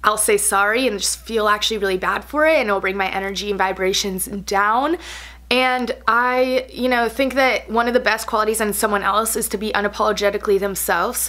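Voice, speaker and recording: A fairly quick pace with ordinary pitch variation. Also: woman, fairly high pitch for a woman. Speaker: beauty and lifestyle vlogger. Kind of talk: casual vlog chat. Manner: fast; animated.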